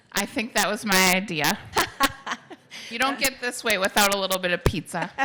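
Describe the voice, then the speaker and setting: With a Minnesotan accent, a woman talks fairly quickly at a medium pitch with ordinary pitch variation, while noticeable background noise runs underneath. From Minnesota, Coon Rapids. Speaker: mayor and family law attorney. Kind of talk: public interview on stage.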